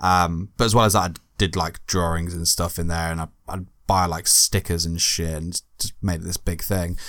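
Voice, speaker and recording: The recording is very clean with a silent background. A man with an English accent and very deep, low pitch speaks at a moderate pace. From Britain. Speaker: podcast co-host. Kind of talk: casual chat.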